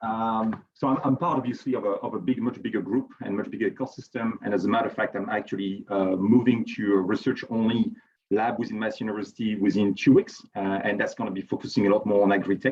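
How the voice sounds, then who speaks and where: Talking at a very fast pace with hardly any pauses, a man with a strong French accent keeps his intonation fairly even. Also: medium pitch for a man. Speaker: chemical engineer and researcher. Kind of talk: conference presentation. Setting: virtual event. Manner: hesitant, many repetitions.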